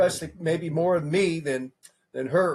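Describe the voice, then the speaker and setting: A high-pitched man with an American accent. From California. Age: 50s. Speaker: presidential candidate. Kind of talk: interview. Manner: casual, repetitive.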